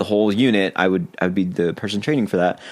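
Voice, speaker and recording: Speaking with lively intonation, the man has a fairly low pitch. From Texas, Brownsville. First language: Spanish. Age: 30s. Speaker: musician and music teacher. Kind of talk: casual chat.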